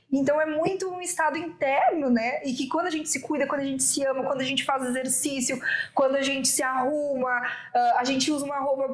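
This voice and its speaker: Over noticeable background noise, a woman talks at a very fast pace in a high pitch with fairly even intonation. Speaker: women's business mentor. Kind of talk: interview.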